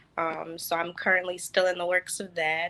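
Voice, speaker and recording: A woman with an American accent speaks at a fairly low pitch in a bright, sharp tone. Her intonation is flat and monotone. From US Midwest, Chicago. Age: 20s. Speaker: podcast guest, social work graduate and dancer. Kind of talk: casual interview. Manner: hesitant, many fillers.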